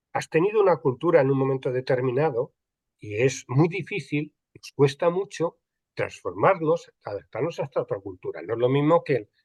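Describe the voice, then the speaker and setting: Recorded with a dry, close sound and no echo, a man with a fairly high pitch speaks with lively intonation, big swings in loudness and a somewhat breathy quality. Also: moderate pace. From Spain, Andalusia. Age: 60s. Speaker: archival and records management expert. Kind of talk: panel conversation. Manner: hesitant, many repetitions and fillers.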